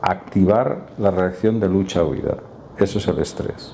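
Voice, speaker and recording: Fairly slow, fairly low-pitched speech from a man. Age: 60s. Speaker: doctor giving talk on stress and neuropsychiatry. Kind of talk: public talk and discussion.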